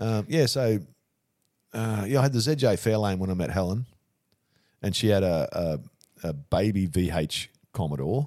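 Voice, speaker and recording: Speaking with an Australian accent, a man uses a fairly low pitch and a dark, mellow tone, with lively intonation at a moderate pace and long, frequent pauses. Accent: Australian, broad. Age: 70s. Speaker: funeral director. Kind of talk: casual chat.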